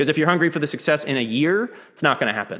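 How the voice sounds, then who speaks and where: With very wide pitch swings, a man speaks in an American accent. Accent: slight Southern twinge at most. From Texas, Lake Jackson near Houston. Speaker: percussionist and music educator. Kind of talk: interview conversation. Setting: video call.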